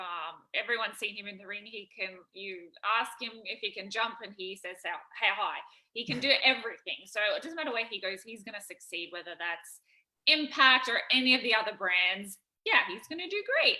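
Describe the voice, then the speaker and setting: A woman with an Australian accent, lively intonation and big swings in loudness. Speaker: professional wrestler. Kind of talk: press conference answer.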